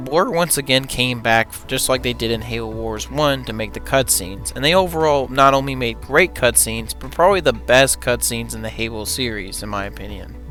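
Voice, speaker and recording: Fairly quick speech from a man with hardly any pauses and big swings in loudness, music in the background. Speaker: video game reviewer. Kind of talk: game review narration.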